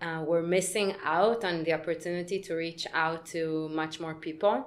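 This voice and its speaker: At a moderate pace, a woman with an Israeli accent speaks at a fairly low pitch with fairly even intonation. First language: Hebrew. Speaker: podcast co-host. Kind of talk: casual chat.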